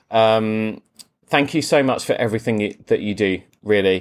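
A man speaks with a South London accent at medium pitch. His intonation stays fairly even. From Croydon, south London, England. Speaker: podcast host, tailor. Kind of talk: casual interview chat.

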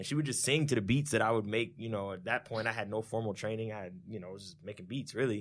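A very fast-talking man with an American accent, medium pitch, ordinary pitch variation and big swings in loudness. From Orlando, Florida. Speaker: music producer. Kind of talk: casual chat.

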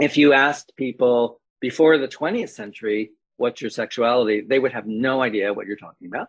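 With an unremarkable speaking voice, a man at a medium pitch moves at a fairly quick pace with hardly any pauses, showing ordinary pitch variation and big swings in loudness. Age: 60s. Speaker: professor and author. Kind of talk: interview conversation.

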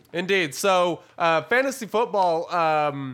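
A man talks with a bright, sharp tone. The recording is very clean, with a silent background. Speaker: gaming podcast co-host. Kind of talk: casual chat. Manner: energetic.

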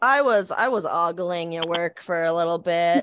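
A woman with an American accent speaks at a fairly low pitch with ordinary pitch variation. The recording is very clean, with a silent background. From Portland, Oregon. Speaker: tattoo artist. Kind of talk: casual chat.

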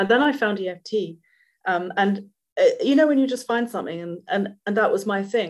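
With a London accent, a woman speaks at a medium pitch and a moderate pace with ordinary pitch variation. The recording is very clean, with a silent background. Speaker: EFT practitioner. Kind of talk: casual interview chat.

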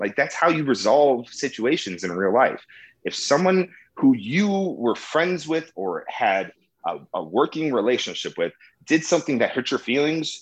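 A man's fairly high-pitched voice with vocal fry, an American accent and very wide pitch swings, against a quiet background. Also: moderate pace. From US Midwest, Chicago. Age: 30s. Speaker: comedy show producer. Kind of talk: casual interview. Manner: animated.

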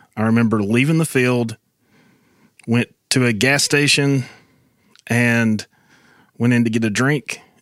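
A man's medium-pitched voice in an Appalachian accent, with fairly even intonation, very even loudness and long, frequent pauses, in a dry, close, very clean recording with no echo and a silent background. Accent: Appalachian Southern US. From western North Carolina, Robbinsville. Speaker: podcast guest sharing testimony. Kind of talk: personal testimony.

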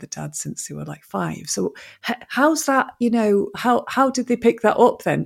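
A woman speaks at a moderate pace. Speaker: podcast host. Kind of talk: casual chat.

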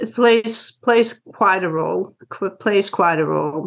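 A woman speaks with vocal fry. Her pitch variation is ordinary. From Netherlands. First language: Dutch. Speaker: life coach and physical therapist. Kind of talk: interview.

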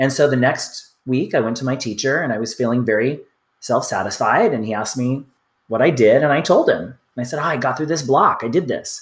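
This man's voice is somewhat breathy and medium in pitch, with ordinary pitch variation and a fairly quick pace in a very clean recording with a silent background. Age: 50s. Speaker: witchcraft author and teacher. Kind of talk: casual interview.

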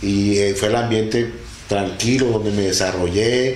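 Amid noticeable background noise and audible room echo, a man speaks at a fairly slow pace and fairly low pitch. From Venezuela, Delta Amacuro, rural village. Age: 60s. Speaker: father-in-law sharing life story. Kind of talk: interview, personal life story. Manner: hesitant, many fillers and repeats.

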